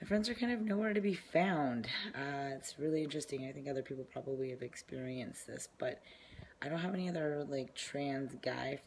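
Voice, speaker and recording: Some breath can be heard in this voice. The intonation moves in a lively way. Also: man. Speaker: vlogger. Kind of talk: casual video diary. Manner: hesitant, many fillers.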